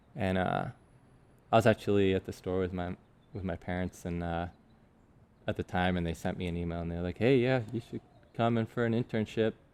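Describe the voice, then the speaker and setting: A man with an American accent and a very deep, low pitch, fairly quick yet with long, frequent pauses, dry and close with no echo on a very clean recording with a silent background. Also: ordinary pitch variation. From southern England. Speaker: metal fabrication business owner. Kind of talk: casual interview chat.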